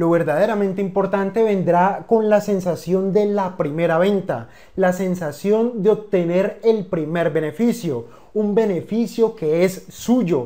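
A man with a high pitch and a dark, mellow tone speaks at a fairly slow pace over a quiet background. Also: ordinary pitch variation. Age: 30s. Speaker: finance educator. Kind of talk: scripted narration. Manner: formal. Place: home room. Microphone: lapel.

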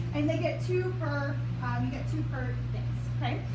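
A woman's speech is heard through loud background noise. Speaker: sales consultant hosting a party. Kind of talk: sales presentation. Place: hall. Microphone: camera far.

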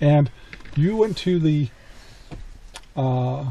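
A man's fairly high-pitched voice with a dark, mellow tone, lively intonation, and a very slow pace

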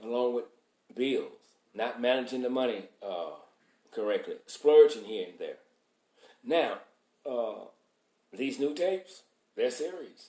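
A man with a Southern US accent talks at a fairly slow pace, with long, frequent pauses and big swings in loudness. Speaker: news commentator. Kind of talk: news commentary monologue. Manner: opinionated, informal.

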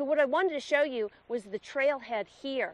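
With a high pitch and ordinary pitch variation, a woman speaks in a dry sound with no echo. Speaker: TV morning show host. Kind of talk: live outdoor TV report. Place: forest. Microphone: phone near.

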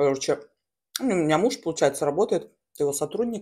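A woman with a very deep, low pitch talks at a moderate pace over a quiet background. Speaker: vlogger. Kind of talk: casual vlog chat. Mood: relaxed, chatty. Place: home room. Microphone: phone near.

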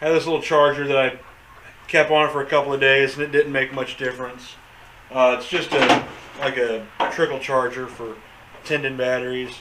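A man at a moderate pace with monotone, flat intonation, long, frequent pauses and noticeable background noise. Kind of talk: casual vlog chat. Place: garage. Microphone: camera far.

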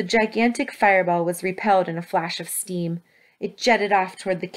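What you hear is a natural reading voice.

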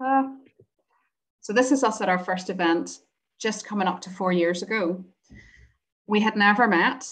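At a moderate pace and medium pitch, a woman speaks with ordinary pitch variation and long, frequent pauses. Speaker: community repair organiser. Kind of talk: webinar presentation. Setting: video call.

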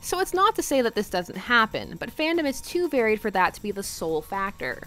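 Speaking at a fairly quick pace, a woman with a fairly high pitch shows very wide pitch swings and big swings in loudness. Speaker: fandom video essayist. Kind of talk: video essay narration. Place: home room.

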